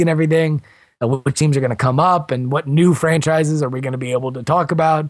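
A man with an American accent has an unremarkable speaking voice. He moves at a fairly quick pace with fairly even intonation. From South Florida. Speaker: podcast host and blogger. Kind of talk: interview.

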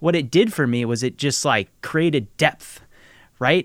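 A plain, everyday voice with an American accent speaks at a moderate pace with ordinary pitch variation. The sound is dry and close with no echo, in a very clean recording with a silent background. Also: man. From Nebraska, US Midwest. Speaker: podcast host and producer. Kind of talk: interview.

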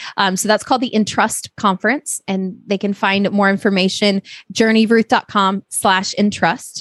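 On a very clean recording with a silent background, a woman with an ordinary speaking voice talks at a medium pitch and a fairly slow pace, her intonation fairly even and the sound dry and close with no echo. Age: 30s. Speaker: ministry volunteer and podcast host. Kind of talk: casual interview.

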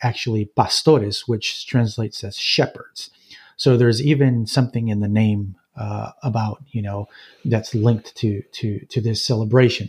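In a very clean recording with a silent background, a man speaks at a moderate pace, somewhat breathy, with a medium pitch and fairly even intonation. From central Mexico (Jalisco). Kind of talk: interview. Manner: halting, many fillers.

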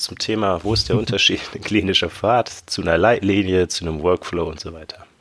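Delivery runs at a fairly quick clip. Pitch moves in a lively way throughout. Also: man. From Germany, Ruhr area (Bochum). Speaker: podcast co-host, health informatics academic. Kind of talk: casual explanatory chat.

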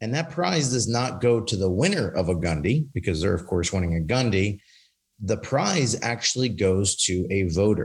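A man's somewhat breathy voice, fairly low in pitch, with lively intonation and very even loudness. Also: moderate pace, very clean recording, silent background. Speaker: industry company representative. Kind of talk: casual chat.

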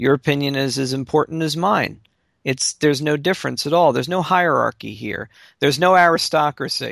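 A man with an ordinary speaking voice and an American accent, fairly high in pitch and fairly quick in pace, with ordinary pitch variation, on a very clean recording with a silent background and a dry, close sound with no echo. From Baltimore, Maryland. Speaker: podcast co-host. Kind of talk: casual chat.

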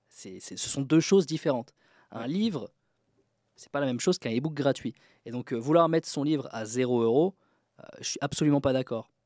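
Recorded dry and close with no echo on a very clean, silent background, a man with a fairly high pitch and a dark, mellow tone talks at a fairly quick pace, with big swings in loudness and long, frequent pauses. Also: ordinary pitch variation. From France, Troyes (Aube). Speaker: author and book publisher. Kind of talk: podcast interview.

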